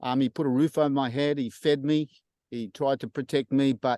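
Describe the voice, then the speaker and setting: A man's fairly high voice in an Australian accent, dry and close with no echo, over a quiet background. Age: 60s. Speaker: church member sharing testimony. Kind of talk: testimony. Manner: halting, many fillers.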